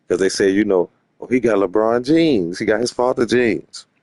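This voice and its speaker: A man's dark, mellow voice at a fairly quick pace, with lively intonation and a dry, close sound free of echo. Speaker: streamer and sports commentator. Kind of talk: casual livestream rant. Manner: loud and boisterous; animated.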